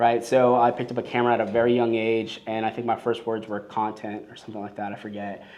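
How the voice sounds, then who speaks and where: A man with a Los Angeles accent and a medium pitch talks very fast with hardly any pauses. His intonation is monotone and flat. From Los Angeles, US. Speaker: filmmaker and business owner. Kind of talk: podcast interview. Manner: casual, filler-heavy.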